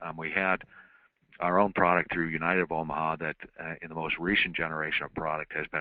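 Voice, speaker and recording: A man's very deep, low voice, monotone and flat in intonation, at a very fast pace. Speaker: insurance marketing representative. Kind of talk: webinar presentation. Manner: halting, many fillers.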